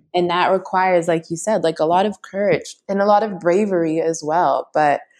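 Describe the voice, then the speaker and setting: A woman with a Canadian accent and a normal speaking voice, fairly low in pitch, at a moderate pace with fairly even intonation over a quiet background. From Canada, Toronto. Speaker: mindfulness teacher. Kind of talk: interview conversation.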